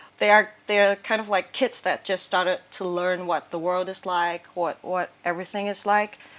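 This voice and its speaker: A woman with a Cantonese accent at medium pitch, moderate pace and fairly even intonation, on a very clean recording with a silent background. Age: 20s. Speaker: artist. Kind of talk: interview. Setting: artist's studio. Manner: hesitant, with many fillers and repetitions.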